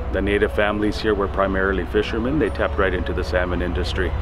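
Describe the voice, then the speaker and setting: Clear music plays in the background as a man talks at a fairly low pitch. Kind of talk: interview answer. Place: street.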